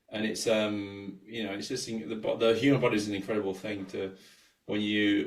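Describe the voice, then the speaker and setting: Fairly low in pitch and monotone with flat intonation, a man talks at a fairly quick pace amid audible room echo. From England. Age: 40s. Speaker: sports scientist and coach. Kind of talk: podcast interview.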